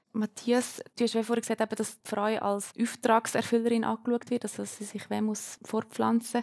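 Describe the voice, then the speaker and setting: A woman with a Uri accent, fairly high-pitched, at a moderate pace, in a dry, close sound with no echo. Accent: Uri Swiss German dialect. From Switzerland, canton of Uri. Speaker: student moderating a panel. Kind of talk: panel discussion moderation.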